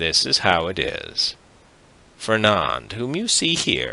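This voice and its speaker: Putting on a hoarse character voice, a man speaks at a fairly slow pace in a very deep, low pitch. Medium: read story. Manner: blunt, teasing.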